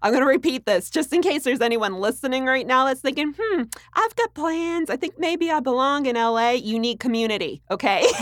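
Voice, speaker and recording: A woman with a high voice speaks at a fairly quick pace, her intonation lively and her loudness very even, with noticeable background noise behind her. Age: young. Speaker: actress. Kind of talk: interview. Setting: studio.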